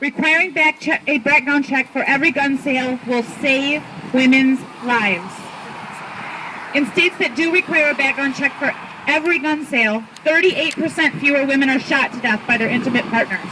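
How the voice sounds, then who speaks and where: Over noticeable background noise, a woman with a high pitch projects a raised voice at a fairly quick pace. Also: ordinary pitch variation. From Michigan. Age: 30s. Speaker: gun violence survivor and advocate. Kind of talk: rally speech. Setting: outdoors.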